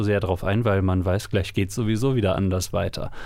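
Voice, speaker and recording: A man speaks with fairly even intonation. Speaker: podcast co-host, citizen media maker. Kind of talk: casual chat.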